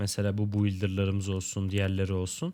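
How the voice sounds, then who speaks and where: Moderate-paced speech from a man with a fairly low pitch. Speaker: gaming youtuber. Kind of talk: gameplay commentary. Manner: casual, laughs often. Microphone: new microphone and headset.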